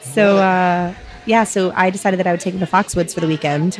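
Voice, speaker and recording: Noticeable background noise fills the recording. Over it, a woman talks fairly quickly. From US Northeast, southern New Hampshire. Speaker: physician assistant and amputee. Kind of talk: casual interview conversation.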